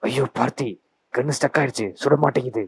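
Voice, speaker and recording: In a raspy, put-on character voice, a man speaks at a medium pitch and moderate pace with fairly even intonation, the sound dry and close with no echo. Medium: cartoon. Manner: pleading, mixes English into Tamil.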